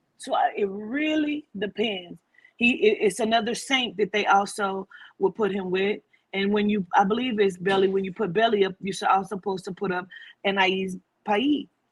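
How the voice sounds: At a moderate pace, a woman speaks in a medium pitch with a slightly husky edge and fairly even intonation.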